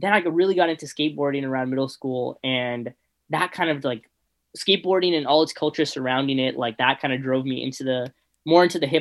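This man speaks with a Californian accent at a fairly quick pace. His pitch is fairly high and varies in an ordinary way. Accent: Californian American. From Los Angeles, San Fernando Valley. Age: 20s. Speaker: student, music club member. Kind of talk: casual chat.

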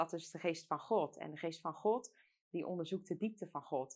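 A woman speaks at a moderate pace with a fairly low pitch and ordinary pitch variation, in a normal speaking voice. The background is quiet. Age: 20s. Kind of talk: casual chat about faith. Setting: studio.

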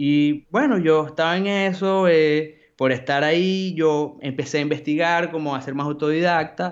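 A man with a normal speaking voice, fairly high in pitch, at a fairly slow pace with fairly even intonation and hardly any pauses. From Venezuela, Maracaibo. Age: 20s. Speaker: graphic designer. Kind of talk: casual interview.

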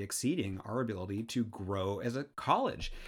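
On a very clean recording with a silent background, a man speaks at a moderate pace. He has an ordinary speaking voice at medium pitch. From US Pacific Northwest, Seattle. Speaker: engineering professor and dean. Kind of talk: casual interview. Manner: repeats words when starting sentences.

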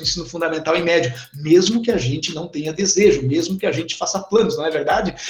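A man speaks at a fairly quick pace with a southern Brazilian accent and ordinary pitch variation. Noticeable background noise runs underneath. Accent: southern Brazilian (gaúcho) Portuguese. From Formigueiro, interior of Rio Grande do Sul, Brazil. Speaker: teacher. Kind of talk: casual interview.

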